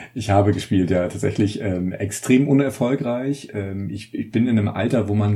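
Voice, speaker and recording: At a moderate pace with hardly any pauses, a man speaks in a somewhat breathy, fairly low voice with a dark, mellow tone and ordinary pitch variation. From northern Germany, Mecklenburg. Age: 30s. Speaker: journalist and author. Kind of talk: casual chat.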